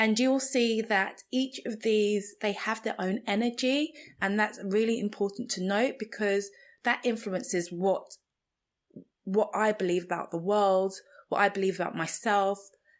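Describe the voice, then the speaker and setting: A woman's fairly high voice with fairly even intonation, on a very clean recording with a silent background. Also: fairly slow pace. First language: Igbo. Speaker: podcast host, spiritual coach. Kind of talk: reflective monologue podcast.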